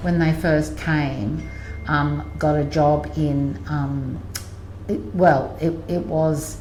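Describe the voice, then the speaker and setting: With an Australian accent, a woman speaks at a very slow pace amid audible room echo and noticeable background noise. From Australia, Sydney. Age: 60s. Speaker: interviewee sharing life story. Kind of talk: life story interview. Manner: halting, many fillers.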